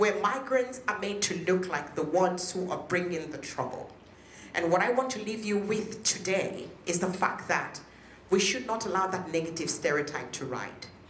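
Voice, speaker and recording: With a Nigerian accent and an animated tone, a woman speaks at a moderate pace amid noticeable background noise and audible room echo. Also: medium pitch for a woman, ordinary pitch variation. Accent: Nigerian (Yoruba) English. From western Nigeria. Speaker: politician, local councillor. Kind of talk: public speech.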